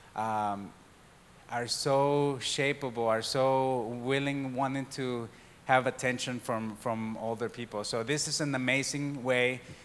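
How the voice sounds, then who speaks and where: A man at a medium pitch, in a flat monotone. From Mexico. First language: Spanish. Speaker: church diversity and outreach worker. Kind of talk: church talk. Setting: church service with congregation.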